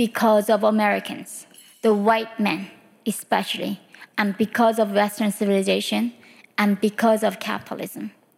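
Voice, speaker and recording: An animated woman with a Korean accent and a fairly high pitch. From North Korea. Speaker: human rights activist and author. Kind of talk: lecture. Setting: stage with audience. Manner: animated, humorous.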